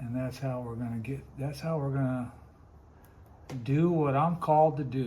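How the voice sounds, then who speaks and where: A somewhat breathy man's voice at medium pitch, moderate in pace with long, frequent pauses and fairly even intonation, in a space with audible room echo. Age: 60s. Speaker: woodcarver and Bible teacher. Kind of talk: casual vlog talk while working. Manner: casual, rambling.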